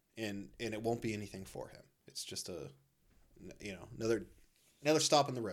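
A man talks at a very fast pace with lively intonation, vocal fry, big swings in loudness and long, frequent pauses. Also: fairly low pitch for a man. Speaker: podcast co-host. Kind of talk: casual chat. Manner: animated.

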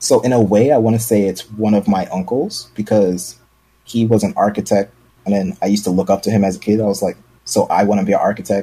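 Very fast and fairly low, a man with an American accent speaks in a dark, mellow tone with fairly even intonation. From New York, Brooklyn. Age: 20s. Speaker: streamer. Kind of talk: casual chat.

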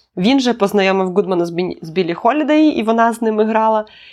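Quiet surrounds this recording. In it, a woman talks at a moderate speed. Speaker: podcast co-host. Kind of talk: casual chat. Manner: reading from notes.

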